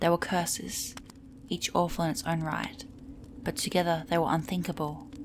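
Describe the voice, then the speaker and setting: The speaker is soft-spoken and somewhat breathy. The pace is moderate. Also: woman. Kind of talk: soft-spoken ASMR book reading of fantasy lore. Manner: soft-spoken, relaxing.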